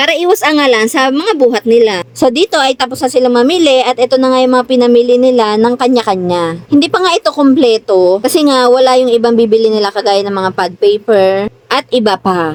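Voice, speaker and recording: A woman talks at a fairly quick pace in a high voice with lively intonation and hardly any pauses, the sound dry and close with no echo. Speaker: vlogger. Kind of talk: casual vlog narration. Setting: shopping trip. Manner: stern-sounding when talking.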